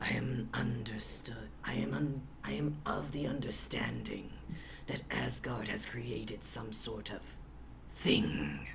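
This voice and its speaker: Over loud background noise, a gravelly put-on character voice moves at a very slow pace. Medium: actual play. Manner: imperious, slow.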